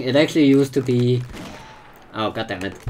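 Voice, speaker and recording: Speech at a fairly quick pace is heard against noticeable background noise. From Denmark. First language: Danish. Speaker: gaming streamer. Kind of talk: casual chat. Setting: live stream. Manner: halting, repeats words.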